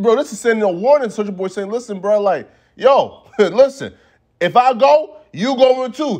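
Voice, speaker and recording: A man speaks in an extremely high pitch with an animated tone and lively intonation. The background is quiet. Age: 20s. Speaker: hip hop news commentator. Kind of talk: casual commentary video.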